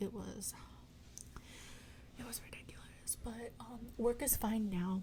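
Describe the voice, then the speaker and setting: Amid noticeable background noise, a soft-spoken woman talks at a fairly slow pace with long, frequent pauses and big swings in loudness. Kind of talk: ASMR chatty catch-up ramble. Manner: rambling, casual.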